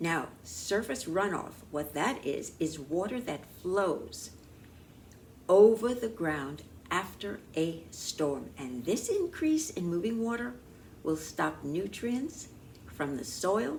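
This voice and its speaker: A woman's fairly low voice at a very slow pace, with very wide pitch swings and audible room echo. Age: 80s+. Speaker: talk show host and producer. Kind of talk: scripted talk show monologue. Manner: formal.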